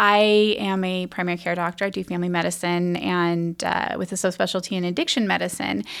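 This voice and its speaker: A woman's fairly low-pitched, unremarkable speaking voice with an American accent, fairly quick with hardly any pauses and fairly even intonation, in a very clean recording with a silent background. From US West Coast, Humboldt County, northern California. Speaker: public health officer and physician. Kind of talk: interview.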